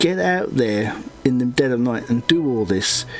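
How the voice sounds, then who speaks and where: A man at a fairly slow pace over music in the background. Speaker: comic artist and YouTuber. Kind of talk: casual chat. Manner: halting, many fillers.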